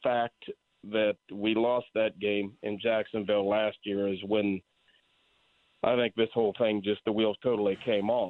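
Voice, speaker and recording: A man talks in a normal speaking voice at a fairly low pitch. His pace is fairly slow and his intonation fairly even. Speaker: caller, sports fan. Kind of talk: radio call-in. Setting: phone call.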